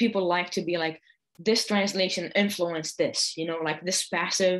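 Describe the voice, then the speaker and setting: A woman with an Arabic accent speaks at medium pitch and a moderate pace, with ordinary pitch variation. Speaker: poet and translator. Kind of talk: panel discussion. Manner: many fillers and hesitations.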